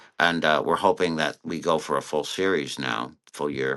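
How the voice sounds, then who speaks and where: With vocal fry and an American accent, a man speaks at a moderate pace, his very deep, low voice carrying a bright, sharp tone. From Connecticut, US. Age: 60s. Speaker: cartoonist and author. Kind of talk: interview.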